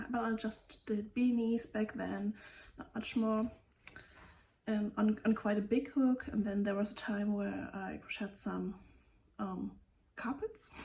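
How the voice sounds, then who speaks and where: This woman speaks at a fairly slow pace with a German accent, her fairly high pitch showing ordinary variation. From Germany. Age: 30s. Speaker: knitting podcaster. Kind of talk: casual vlog talk. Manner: halting.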